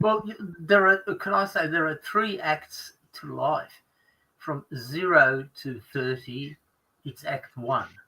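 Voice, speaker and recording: Speaking at a very slow pace with long, frequent pauses, a man with an Australian accent uses a fairly high pitch, lively intonation and big swings in loudness. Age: 60s. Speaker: ex-lawyer guest on a group stream. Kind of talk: casual group chat on a livestream. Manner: halting, many fillers and restarts.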